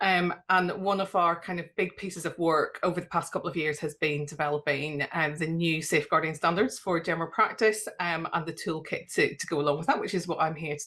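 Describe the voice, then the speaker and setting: A woman with a Northern Irish accent, fairly low in pitch, bright and sharp in tone, at a fairly quick pace with hardly any pauses and fairly even intonation. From Northern Ireland. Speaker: GP and safeguarding policy lead. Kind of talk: webinar presentation.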